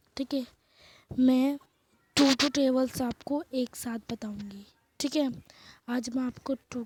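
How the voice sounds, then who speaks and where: At a fairly slow pace, a woman speaks in a high, monotone, flat voice, the sound dry and close with no echo. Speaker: online teacher. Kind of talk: tutorial. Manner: quieter than usual.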